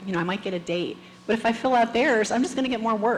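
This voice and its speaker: Soft-spoken and very fast, a woman talks with audible room echo and noticeable background noise. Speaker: conference speaker, tech manager. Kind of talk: conference talk.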